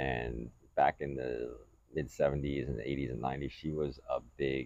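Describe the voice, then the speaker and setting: Flat, monotone intonation with vocal fry. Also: man. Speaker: podcast host. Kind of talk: casual chat. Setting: outdoors on deck.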